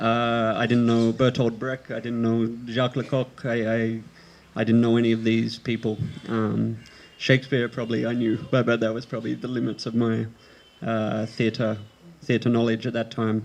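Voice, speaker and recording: Speaking with an Australian accent, a man keeps his intonation monotone and flat. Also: medium pitch for a man, moderate pace. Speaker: theatre performer. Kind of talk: panel talk. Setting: open-air stage with audience.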